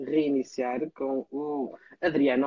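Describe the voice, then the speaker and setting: This speaker has a European Portuguese accent and fairly even intonation. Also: man. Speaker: talk show host. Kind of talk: casual chat. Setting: video call.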